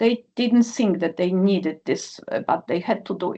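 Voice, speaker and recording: Over a quiet background, a woman talks at a fairly quick pace in a dark, mellow tone. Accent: Polish. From Poland. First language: Polish. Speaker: nuclear physicist, professor. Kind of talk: panel discussion. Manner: halting with many fillers.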